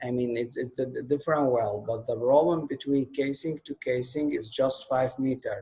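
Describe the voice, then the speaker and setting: Speaking at a fairly slow pace, a man with an Arabic accent keeps a medium pitch and fairly even intonation. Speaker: course instructor. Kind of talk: online lecture. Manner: halting, many fillers.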